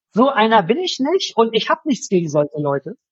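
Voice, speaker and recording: A man speaks at a moderate pace. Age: 40s. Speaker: lawyer, furniture dealer and content creator. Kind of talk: interview conversation.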